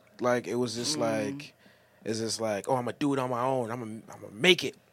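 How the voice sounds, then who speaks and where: With a normal speaking voice, a man talks at a fairly quick pace, using a medium pitch and fairly even intonation. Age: 20s. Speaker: music producer. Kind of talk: casual chat.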